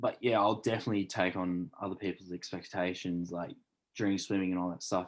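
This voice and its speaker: Very deep and low, a man's voice moves at a moderate pace in a flat monotone. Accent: Australian. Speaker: elite swimmer. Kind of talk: casual chat.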